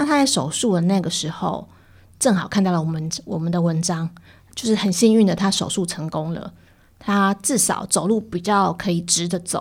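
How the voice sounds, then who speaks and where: A somewhat breathy voice at a moderate pace with ordinary pitch variation, in a very clean recording over a silent background. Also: woman, medium pitch for a woman. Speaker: editor-in-chief of a digital media outlet. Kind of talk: interview.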